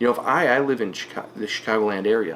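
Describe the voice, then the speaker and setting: Talking at a fairly quick pace, a man uses an ordinary speaking voice pitched fairly low. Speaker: online reseller. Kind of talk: tutorial. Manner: casual.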